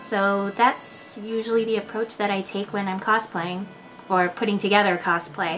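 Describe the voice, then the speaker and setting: Over music in the background, a woman talks in a medium pitch with fairly even intonation and a tired tone. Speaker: cosplayer. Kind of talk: casual unrehearsed interview answers to camera. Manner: slow, tired-sounding, some stuttering.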